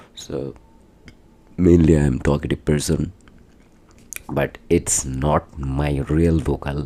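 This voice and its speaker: Very slowly and with long, frequent pauses, a man speaks in a very deep, low pitch with monotone, flat intonation and a non-native accent. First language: not English. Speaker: vlogger. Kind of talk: casual vlog talk. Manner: halting.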